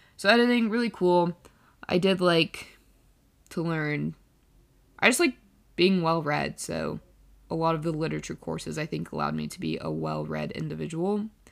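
A woman at a moderate pace with long, frequent pauses, on a very clean recording with a silent background. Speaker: college student podcaster. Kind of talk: casual monologue.

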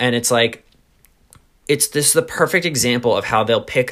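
A man with a New York accent and a bright, sharp tone. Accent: New York area American. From US, New York suburbs. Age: 20s. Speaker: podcast host. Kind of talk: casual chat.

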